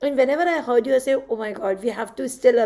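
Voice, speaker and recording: A woman with an Indian accent and ordinary pitch variation. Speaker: handwriting analysis graduate. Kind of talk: graduation speech in video call.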